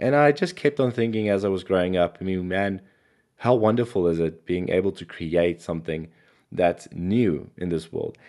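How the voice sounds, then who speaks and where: At a moderate pace, a man speaks in a very deep, low voice with ordinary pitch variation. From South Africa. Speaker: NFT artist and software developer. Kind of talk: podcast interview.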